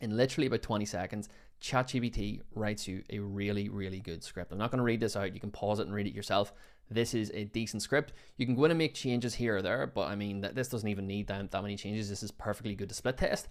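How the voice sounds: In a very clean recording with a silent background, a man talks fast at a fairly low pitch with ordinary pitch variation.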